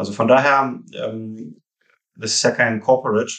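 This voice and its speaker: The speaker is a man with a medium pitch. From Russia (Rostov-on-Don), moved to Hamburg at 13. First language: Russian (speaking German). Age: 30s. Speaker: founder of a fund reporting firm. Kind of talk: interview. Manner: halting, many fillers.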